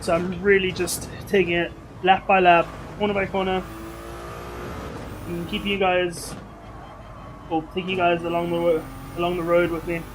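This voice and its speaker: Over noticeable background noise, a man with a high pitch talks at a moderate pace in a monotone, flat intonation, with long, frequent pauses. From South Africa. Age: 20s. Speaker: gaming livestreamer. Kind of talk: live gaming stream chat. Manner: casual, chatty.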